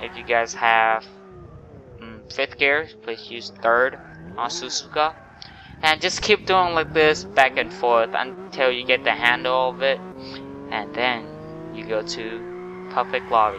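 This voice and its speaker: A man with a Thai accent talks at a fairly slow pace with long, frequent pauses and a medium pitch. His voice shows very wide pitch swings and big swings in loudness, over noticeable background noise. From Thailand. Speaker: gaming YouTuber. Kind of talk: gameplay tutorial commentary. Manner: casual, halting.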